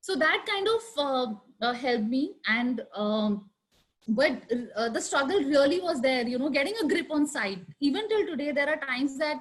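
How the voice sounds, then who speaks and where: A woman speaks loudly at a high pitch. Her pitch swings very widely. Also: moderate pace. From India, Delhi. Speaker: architect. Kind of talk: panel discussion. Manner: halting, many fillers.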